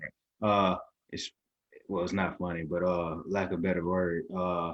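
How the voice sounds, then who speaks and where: A man with a slight Southern US accent speaks at a moderate pace in a very deep, low pitch with monotone, flat intonation. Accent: slight Southern twang. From US South, Mississippi. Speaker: podcast host, coach. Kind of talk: interview.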